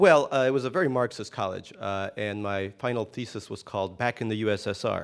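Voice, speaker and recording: A man talks in a normal speaking voice at medium pitch with ordinary pitch variation. His pace is fairly quick, and the recording is very clean with a silent background. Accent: American. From US, emigrated from Soviet Union at seven. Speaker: novelist. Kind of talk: interview. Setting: stage with live audience.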